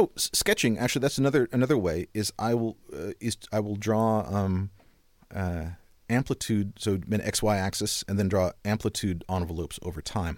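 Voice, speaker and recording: A man's fairly low voice with ordinary pitch variation at a moderate pace, dry and close with no echo in a very clean recording with a silent background. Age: 50s. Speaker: auditory experience designer. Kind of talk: interview. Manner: halting.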